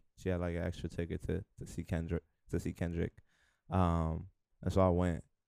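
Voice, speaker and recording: In a New York accent, a man talks with a very deep, low pitch and a dark, mellow tone. His intonation is monotone and flat at a moderate pace, in a dry, close sound with no echo. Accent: New York (Bronx). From New York City, the Bronx (Hunts Point). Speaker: rapper. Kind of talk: interview. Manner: halting, many fillers.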